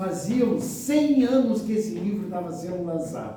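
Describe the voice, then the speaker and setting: A man with lively intonation at a moderate pace, amid audible room echo and noticeable background noise. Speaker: spiritist lecturer. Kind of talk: lecture.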